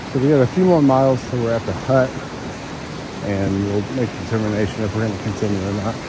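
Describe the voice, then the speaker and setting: A man's very fast speech with ordinary pitch variation, a dry sound with no echo and loud background noise. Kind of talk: casual vlog chat.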